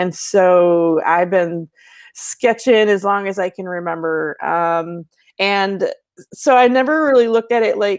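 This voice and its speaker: A woman's voice at medium pitch with an American accent, ordinary pitch variation and a quiet background. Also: fairly slow pace. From Sault Ste. Marie border area, Ontario/Michigan. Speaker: artist and livestream host. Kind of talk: casual livestream chat. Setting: live stream. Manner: hesitant, many fillers.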